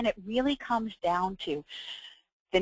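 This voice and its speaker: A woman in a plain, everyday voice talks at a moderate pace with ordinary pitch variation, in a dry, close sound with no echo and a quiet background. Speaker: webinar presenter. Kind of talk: webinar presentation. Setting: webinar.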